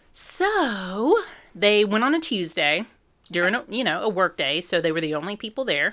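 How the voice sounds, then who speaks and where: On a very clean recording with a silent background, a woman with a Southern US accent talks at a moderate pace in a medium pitch, her bright, sharp tone marked by very wide pitch swings. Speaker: podcast co-host. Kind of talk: casual chat. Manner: playful, hams it up.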